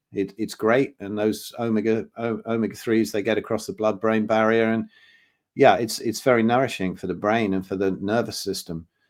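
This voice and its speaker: Here is a plain, everyday voice at a moderate pace. The recording is very clean with a silent background. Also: man. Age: 60s. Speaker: health consultant and drummer. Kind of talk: podcast interview.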